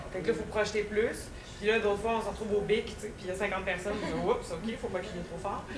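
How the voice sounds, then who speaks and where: With a Quebec accent, a woman races along at a very fast pace in a flat monotone at medium pitch, her loudness swinging widely, over noticeable background noise and audible room echo. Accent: Québécois French. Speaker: stage actress. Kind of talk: casual interview. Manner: hesitant, many fillers.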